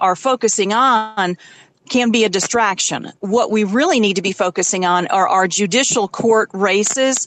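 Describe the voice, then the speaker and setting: Speaking with a northern US accent, a woman uses a fairly high pitch and ordinary pitch variation. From upstate New York. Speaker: state party official. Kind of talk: interview.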